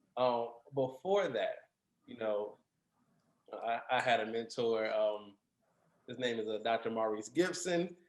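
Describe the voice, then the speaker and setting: A man speaks at a fairly slow pace and medium pitch, with ordinary pitch variation. Long, frequent pauses break his speech, and his loudness swings widely. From US Midwest (Gary, Indiana), later Arkansas. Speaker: music industry panelist. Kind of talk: panel discussion. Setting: video call.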